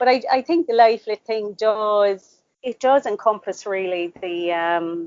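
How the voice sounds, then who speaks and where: A woman with an Irish accent, fairly high pitch and lively intonation at a fairly slow pace. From Ireland, Cork. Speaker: author. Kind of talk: interview.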